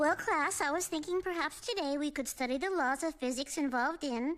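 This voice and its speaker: In a cartoonish character voice, a woman talks at a fairly quick pace with a high pitch. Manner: soft, hesitant.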